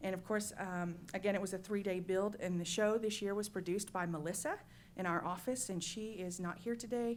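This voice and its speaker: A woman with an ordinary speaking voice, medium pitch, fairly even intonation and a fairly quick pace. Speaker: state agency staff presenting to commission. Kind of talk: meeting presentation.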